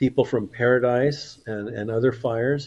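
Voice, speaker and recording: A man's dark, mellow tone with monotone, flat intonation. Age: 60s. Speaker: activist, institute chairman. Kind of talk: interview.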